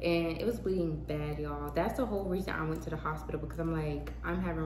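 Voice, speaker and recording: Noticeable noise sits behind a woman who speaks at a fairly quick clip. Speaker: vlogger. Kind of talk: casual vlog monologue. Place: home room. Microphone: phone near.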